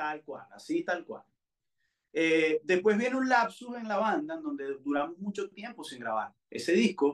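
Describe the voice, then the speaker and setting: This man's voice sits high for a man and moves with very wide pitch swings. His loudness swings widely, and he speaks at a fairly slow pace. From Venezuela, Valencia. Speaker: singer. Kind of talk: interview.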